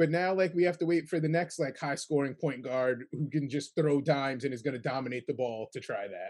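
Talking at a fairly quick pace with hardly any pauses, a man with an American accent uses a fairly high pitch and ordinary pitch variation. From New York State, Kingston. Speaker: sports podcast host. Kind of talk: casual chat.

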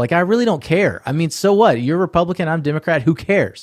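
The recording sounds dry and close, with no echo. A man talks in an American accent. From US South, Atlanta, Georgia. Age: 40s. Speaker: podcast host. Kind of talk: casual interview chat. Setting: home studio, remote recording.

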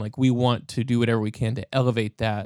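The recording is very clean, with a silent background. A man talks at a moderate pace in a medium pitch, his intonation monotone and flat. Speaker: audio producer and musician. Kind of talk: casual interview.

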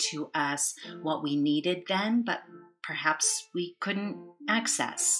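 A woman speaks at a very slow pace in a calm, gentle tone. Music plays in the background. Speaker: therapist, podcast guest.

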